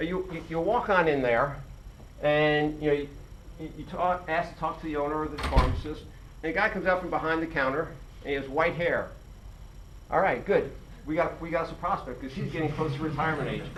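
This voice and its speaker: A man talks at a fairly quick pace in a fairly high voice, with long, frequent pauses. His intonation stays fairly even, and the room echoes audibly. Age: 60s. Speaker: independent pharmacy owner. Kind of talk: presentation to students. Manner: halting, many fillers and repetitions.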